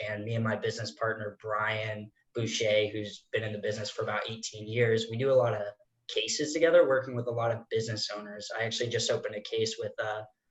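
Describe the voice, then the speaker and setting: Speaking at a fairly quick pace, a man uses a medium pitch and fairly even intonation, his voice somewhat breathy. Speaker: financial planner, audience member. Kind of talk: audience question.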